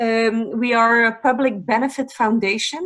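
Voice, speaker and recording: This woman speaks with a non-native accent at a fairly slow pace. Her pitch is fairly high and her intonation fairly even. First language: not English. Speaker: foundation representative. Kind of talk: presentation. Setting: online webinar.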